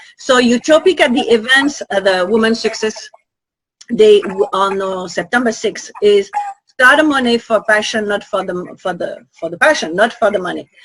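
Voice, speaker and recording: At a moderate pace, a woman with a French accent speaks at a fairly high pitch with lively intonation. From Guadeloupe. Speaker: conference organizer and host. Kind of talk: interview.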